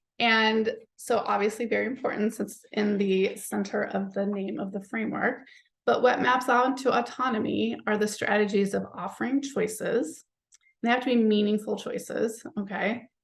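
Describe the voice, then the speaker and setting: A woman talks at a moderate pace with a fairly high pitch and vocal fry. Her intonation stays fairly even while her loudness swings widely. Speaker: psychologist and parenting author. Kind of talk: webinar presentation.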